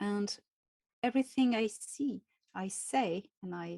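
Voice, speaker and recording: A woman with a French accent and medium pitch speaks in a dark, mellow tone with ordinary pitch variation. The sound is dry and close with no echo, very clean, with a silent background. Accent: French accent, weird way of talking. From France. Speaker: contactee, spiritual author. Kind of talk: interview. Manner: slow, careful.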